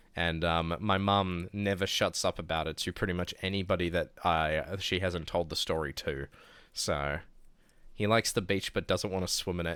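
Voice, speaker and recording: Over a very clean recording with a silent background, a man with a very deep, low pitch and a bright, sharp tone speaks at a moderate pace with ordinary pitch variation. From New Zealand. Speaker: streamer. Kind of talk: casual chat. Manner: articulates every word; relaxed.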